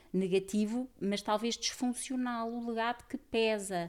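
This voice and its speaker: A woman with an unremarkable speaking voice, fairly high in pitch, at a fairly slow pace. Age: 40s. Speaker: systemic therapist and author. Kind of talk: casual chat.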